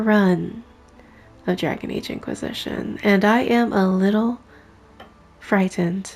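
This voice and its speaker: Soft-spoken and very slow, a woman talks at a medium pitch. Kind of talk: casual gameplay commentary.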